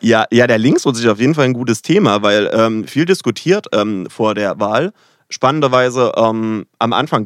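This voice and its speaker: A man speaks with a medium pitch and ordinary pitch variation. The recording is very clean with a silent background and a dry, close sound with no echo. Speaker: political science doctoral researcher. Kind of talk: casual chat. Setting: studio.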